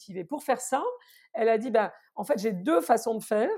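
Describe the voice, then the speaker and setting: On a very clean recording with a silent background, a woman talks at a fairly quick pace in a fairly high pitch with a dark, mellow tone. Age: 50s. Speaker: consultancy founder. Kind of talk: interview.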